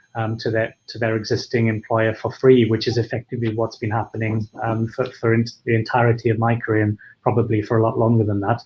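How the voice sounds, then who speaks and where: A man speaks at a fairly quick pace with a Welsh accent. His voice is somewhat breathy and sits at a medium pitch. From Wales. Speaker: founder of an HR freelance marketplace. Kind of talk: webinar discussion. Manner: hesitant, many fillers.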